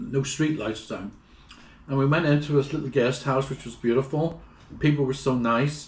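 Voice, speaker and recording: With a Northern Irish accent, a man speaks at a fairly high pitch and a moderate pace with ordinary pitch variation. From Northern Ireland. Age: 70s. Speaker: traveler. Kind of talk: casual chat.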